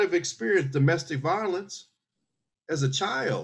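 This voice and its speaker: The voice belongs to a man. He has an American accent. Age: 60s. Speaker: military veteran. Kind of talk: casual chat.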